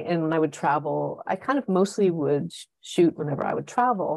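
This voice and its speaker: This woman has a plain, everyday voice, pitched fairly low and delivered at a moderate pace. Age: 50s. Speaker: travel and nature photographer. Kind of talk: casual interview chat.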